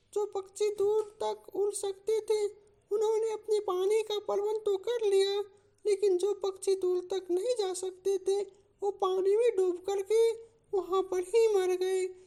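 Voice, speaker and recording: At a moderate pace, a woman performs a cartoonish character voice at an extremely high pitch with monotone, flat intonation. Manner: earnest, speechlike.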